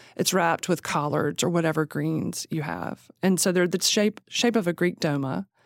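In a Southern US accent, a woman speaks at a fairly low pitch and a moderate pace with vocal fry and hardly any pauses, on a very clean recording with a silent background and a dry, close sound with no echo. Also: ordinary pitch variation. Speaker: magazine co-founder. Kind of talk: casual interview chat.

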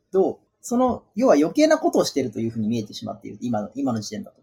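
This man talks at a very fast pace with very wide swings in pitch. His tone is dark and mellow. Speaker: software engineer, tech event organizer. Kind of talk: technical explanation in casual podcast chat.

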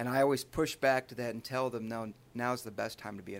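On a very clean recording with a silent background, a man with a Midwestern American accent talks at a very fast pace. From Michigan (Charlotte, near Lansing). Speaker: state highway patrol trooper. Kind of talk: casual interview. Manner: animated.

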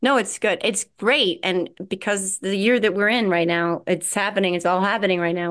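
Here a woman speaks at a medium pitch. She has a New Jersey accent. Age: 40s. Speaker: podcast host. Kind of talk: casual chat.

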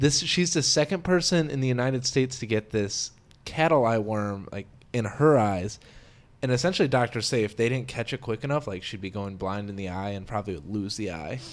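In an ordinary speaking voice, a man of medium pitch speaks at a fairly quick pace with lively intonation. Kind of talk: casual chat.

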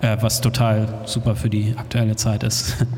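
Over noticeable background noise and audible room echo, a man speaks at a very slow pace in a monotone, flat intonation. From Hamburg, northern Germany. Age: 40s. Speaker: DJ and music producer. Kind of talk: interview before live audience. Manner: halting, many fillers.

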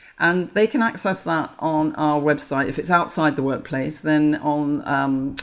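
Speaking at a moderate pace, a woman with an English accent has a very deep, low pitch. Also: very clean recording, silent background. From England. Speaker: menopause author. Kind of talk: interview.

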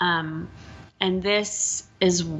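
Against noticeable background noise, a woman with an American accent speaks at a fairly low pitch. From Texas. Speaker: animal sanctuary founder. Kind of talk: interview conversation. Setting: host's apartment, at a table.

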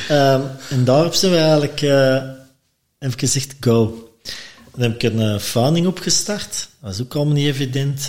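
The speaker has an unremarkable speaking voice and ordinary pitch variation. The pace is moderate. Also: man, fairly high pitch for a man. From Belgium, Antwerp. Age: 50s. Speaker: former restaurant owner, brewer. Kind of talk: casual chat.

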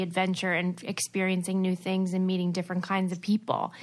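The speaker talks at a fairly quick pace with an American accent. The background is quiet. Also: woman. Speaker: former reality TV star and podcaster. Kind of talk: casual interview chat.

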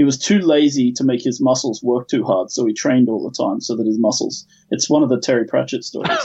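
Here a man talks at a very fast pace. He leaves hardly any pauses. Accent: Australian. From Australia. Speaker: game industry producer. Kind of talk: casual chat.

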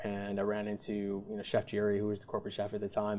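A man is speaking here. His pace is very fast. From US Midwest, Wisconsin (Milwaukee area). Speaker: chef. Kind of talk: interview. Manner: halting.

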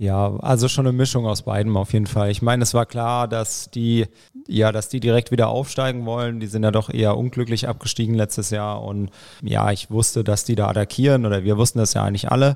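The speech moves at a fairly quick pace in a monotone, flat intonation. The recording is very clean, with a silent background. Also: man, medium pitch for a man. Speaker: triathlon team manager. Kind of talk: casual chat. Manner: talkative.

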